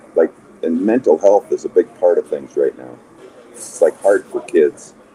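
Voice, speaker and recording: Against background music, a man with an American accent talks with big swings in loudness, in a dry, close sound without echo. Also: moderate pace. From Montana, US. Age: 60s. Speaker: former basketball player and coach. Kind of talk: podcast interview.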